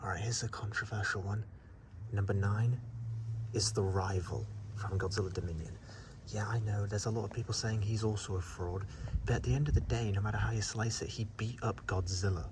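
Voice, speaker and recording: With noticeable background noise and audible room echo, a man talks at a fairly quick pace, his pitch fairly low and his intonation fairly even. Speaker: YouTuber. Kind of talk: monster ranking vlog. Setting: outdoors at night. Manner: whispering; casual, halting.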